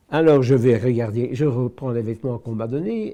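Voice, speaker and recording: A man speaks at a fairly slow pace with ordinary pitch variation. His tone is dark and mellow. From Belgium, Brussels. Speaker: Holocaust survivor. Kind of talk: testimony.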